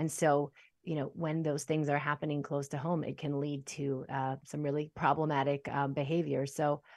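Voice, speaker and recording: Fairly quick speech from a woman, with a quiet background. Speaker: podcast host. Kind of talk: casual interview. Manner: hesitant, filler-heavy.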